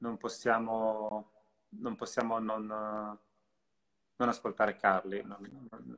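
The man talks at a very slow pace. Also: quiet background. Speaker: live-stream interviewer. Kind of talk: live interview. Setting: video call. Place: home room. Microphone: video call.

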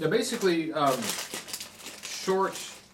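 The speech moves at a fairly slow pace. There is noticeable background noise. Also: man. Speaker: snack reviewer. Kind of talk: casual vlog chat. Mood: relaxed, mildly upbeat. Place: home room. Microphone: camera far.

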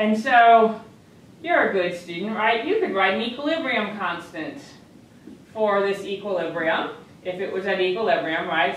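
There is strong room echo around a woman speaking at medium pitch.

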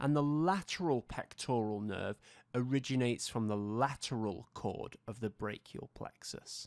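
A man with an ordinary speaking voice talks at a fairly slow pace with medium pitch and ordinary pitch variation, the sound dry and close with no echo in a very clean recording with a silent background. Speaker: anatomy educator. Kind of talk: tutorial. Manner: formal.

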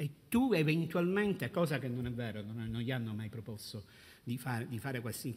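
A man at a moderate pace, somewhat breathy. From Sicily. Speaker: brother of a murdered police officer, anti-mafia activist; conference panelist. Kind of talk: panel talk. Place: hall. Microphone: podium.

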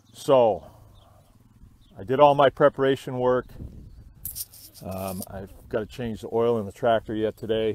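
At a fairly slow pace, a man with a slightly mellow tone talks, leaving long, frequent pauses. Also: medium pitch for a man, ordinary pitch variation.

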